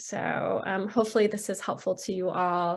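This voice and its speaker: A woman's medium-pitched voice with vocal fry, monotone and flat, at a moderate pace against a quiet background. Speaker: psychiatrist. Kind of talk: webinar lecture. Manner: casual, many fillers.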